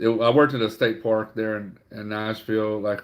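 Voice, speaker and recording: With an American accent and a fairly low pitch, a man speaks in a monotone, flat intonation at a moderate pace in a very clean recording with a silent background. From Louisiana. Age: 40s. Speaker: online reseller livestreamer. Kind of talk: casual livestream chat. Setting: livestream. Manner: halting, many fillers.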